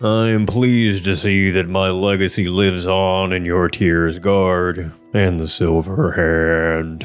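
Over faint music in the background, a man uses a put-on character voice. His pitch is very deep and low. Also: fairly slow pace, hardly any pauses. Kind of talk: solemn. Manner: gloomy, droopy.

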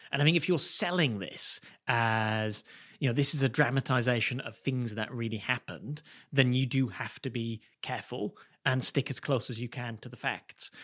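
In a very clean recording with a silent background, a man with a British accent speaks at a moderate pace in a medium pitch, his tone bright and sharp and his pitch varying in an ordinary way. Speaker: podcast co-host. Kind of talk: casual chat.

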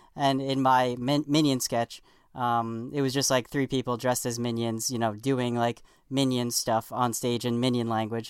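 In a very clean recording with a silent background, a man speaks at a medium pitch and moderate pace with monotone, flat intonation. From New York. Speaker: comedy writer for late-night TV. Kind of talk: casual podcast interview.

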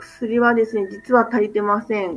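Using an ordinary speaking voice, a woman talks at a moderate pace with a fairly high pitch. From Japan. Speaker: doctor and NGO leader. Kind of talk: radio interview.

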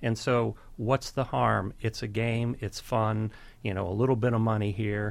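Here a man with a plain, everyday voice talks at medium pitch and a moderate pace. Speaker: investigative journalist. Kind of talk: radio interview.

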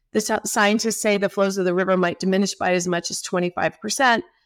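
A Southwestern US accent on a very clean recording with a silent background. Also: woman, dry, close sound with no echo. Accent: US Southwest American. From Arizona (Tempe). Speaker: water policy center director. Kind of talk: interview. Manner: hesitant, many fillers.

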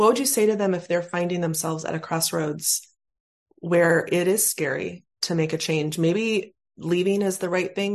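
A woman in an ordinary speaking voice uses fairly low pitch and fairly even intonation at a moderate pace. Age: 40s. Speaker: podcast host. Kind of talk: casual interview chat; scripted outro.

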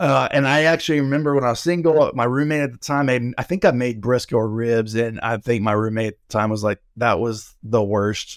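In a very clean recording with a silent background, a man with an American accent speaks at a fairly quick pace with hardly any pauses. He has a plain, everyday voice, medium pitch, and ordinary pitch variation. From Oklahoma. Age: 40s. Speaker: pastor and barbecue content creator. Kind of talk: casual interview chat.

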